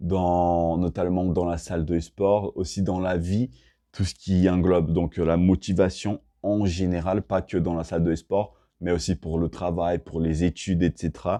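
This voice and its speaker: Over a quiet background, a man with a very deep, low pitch and a dark, mellow tone speaks at a fairly slow pace in a monotone, flat delivery, the sound dry and close with no echo. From Brazil. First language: Portuguese (speaking French). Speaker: self-improvement and fitness vlogger. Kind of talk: casual vlog talk to camera. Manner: hesitant, many fillers and restarts.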